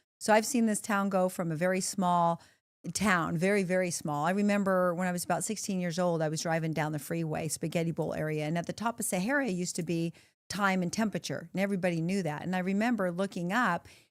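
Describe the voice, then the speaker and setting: On a very clean recording with a silent background, a woman with a fairly low voice talks at a very fast pace with ordinary pitch variation. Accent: American. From US West, Las Vegas. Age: 60s. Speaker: retired firefighter and bomb technician. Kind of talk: podcast interview.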